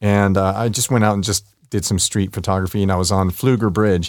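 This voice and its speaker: Very deep and low, a man's voice comes through on a very clean recording over a silent background. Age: 50s. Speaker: street photographer. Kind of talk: interview. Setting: studio.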